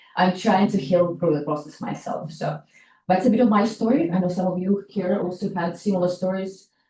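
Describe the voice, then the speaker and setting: A woman with an American accent speaks fairly quickly at a medium pitch, her somewhat breathy voice dark and mellow in tone with ordinary pitch variation. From outside the US, came to US as a teenager. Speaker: nonprofit founder, workshop host. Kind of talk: workshop talk, personal story. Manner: halting, many fillers.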